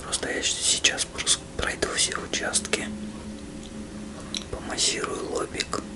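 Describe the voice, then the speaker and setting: Over loud background noise, a soft-spoken man talks at a very slow pace. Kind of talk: soft roleplay guidance, addressing the viewer. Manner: soft, hushed ASMR murmur. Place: home room.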